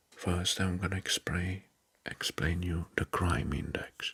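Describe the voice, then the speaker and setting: The speaker is soft-spoken and whispering. Delivery comes at a very slow pace. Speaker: ASMR creator. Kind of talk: ASMR whisper.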